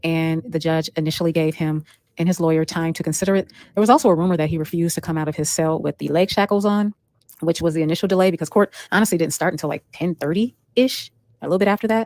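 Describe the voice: A woman talks fast in a low voice with ordinary pitch variation. The tone is slightly mellow, and the sound is dry and close with no echo.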